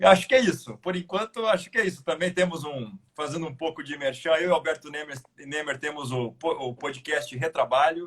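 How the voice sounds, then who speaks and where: Speaking with a Paraná accent, a man talks at a fairly quick pace with hardly any pauses, a fairly high pitch, ordinary pitch variation, and big swings in loudness. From Curitiba, Paraná, southern Brazil. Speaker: labor judge and law lecturer, guest. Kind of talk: live video discussion. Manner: hesitant, repeats words.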